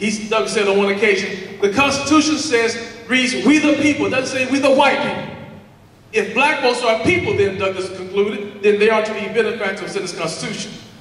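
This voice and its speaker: A man speaks at a fairly quick pace with a high pitch and ordinary pitch variation, in an American accent, with audible room echo and noticeable background noise. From US South, Alabama. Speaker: political speaker. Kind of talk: rally speech. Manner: fast.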